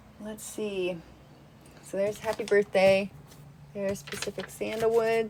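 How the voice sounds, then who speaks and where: A woman speaks in a monotone, flat intonation. Her speech has long, frequent pauses. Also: medium pitch for a woman, fairly slow pace. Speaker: YouTuber reviewing home fragrance products. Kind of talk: casual tutorial with screen recording.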